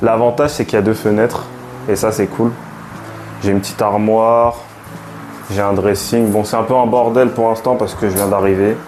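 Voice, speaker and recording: A man's medium-pitched, monotone, flat voice at a fairly quick pace, with very even loudness, long, frequent pauses and noticeable background noise. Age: 20s. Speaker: vlogger and chemistry student. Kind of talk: casual vlog, room tour and self-introduction. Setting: at home in shared flat. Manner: hesitant, many fillers and repetitions.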